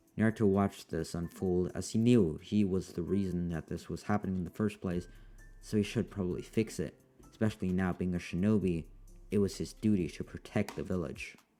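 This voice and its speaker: A man speaks in a very deep, low voice at a fairly quick pace. His intonation stays fairly even, with music playing in the background. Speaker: fan fiction narrator. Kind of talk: story narration. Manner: casual.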